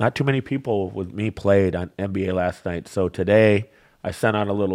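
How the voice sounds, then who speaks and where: This man's pitch is very deep and low, with ordinary variation. The background is silent, and the recording is very clean. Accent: Michigan. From Michigan (Flint area). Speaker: bookmaker. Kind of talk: casual chat.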